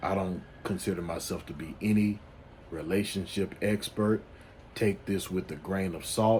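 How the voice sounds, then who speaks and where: A man's very deep, low voice in a Louisiana accent, at a moderate pace with fairly even intonation. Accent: Louisiana Southern US. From US South, Louisiana. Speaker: men's life coach YouTuber. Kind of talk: casual advice monologue. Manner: halting, many fillers and restarts.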